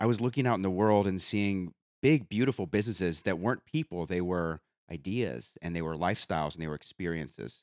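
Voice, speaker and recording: Energetic and lively in intonation, a man speaks fairly quickly in a very clean, dry, close recording with no echo and a silent background. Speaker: podcast host. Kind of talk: interview.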